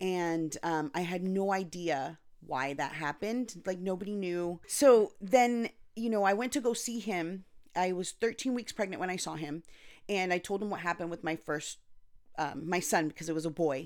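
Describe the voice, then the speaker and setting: A woman speaks in an American accent in an ordinary speaking voice, fairly low in pitch with ordinary pitch variation, at a moderate pace on a very clean recording with a silent background. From Anaheim, California (Costa Rican parents). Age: 40s. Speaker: NICU parent. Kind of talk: casual chat. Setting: home.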